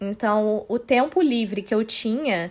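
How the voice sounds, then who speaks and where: A woman with a plain, everyday voice speaks at a fairly slow pace with a fairly high pitch. Her pitch variation is ordinary, and the recording is very clean with a silent background. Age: 20s. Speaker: social media manager, film student. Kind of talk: casual chat.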